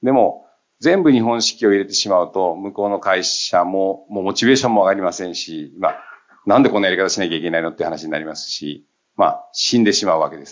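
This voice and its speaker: Fairly low in pitch, a man talks at a very fast pace with ordinary pitch variation and big swings in loudness. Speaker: company CEO. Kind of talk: panel discussion.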